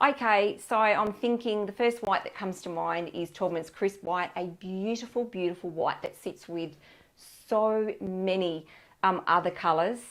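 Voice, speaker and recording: Against a quiet background, a woman with an Australian accent talks at a fairly slow pace with ordinary pitch variation. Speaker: paint colour specialist; colour consultant host. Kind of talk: live online product advice session. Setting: live stream on camera. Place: studio. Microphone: lapel.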